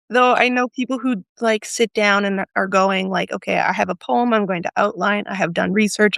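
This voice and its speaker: A woman with an ordinary speaking voice talks at a medium pitch and a fairly quick pace, with fairly even intonation in a dry, close sound with no echo. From rural Alberta, Canada. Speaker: poet and writer. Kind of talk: casual conversation.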